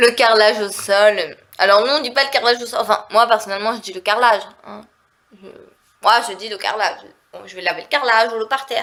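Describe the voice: This woman talks fast in a medium-pitched, fairly bright, nasal voice with ordinary pitch variation.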